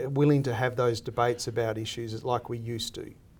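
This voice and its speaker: Here is a man with an Australian accent. His pitch is medium and his intonation fairly even. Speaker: lecturer and former political adviser. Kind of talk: interview.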